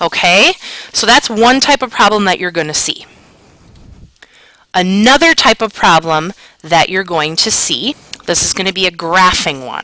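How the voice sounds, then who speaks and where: Over noticeable background noise, a woman speaks at a moderate pace and medium pitch with lively intonation and long, frequent pauses. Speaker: math teacher. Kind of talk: recorded lesson. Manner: casual.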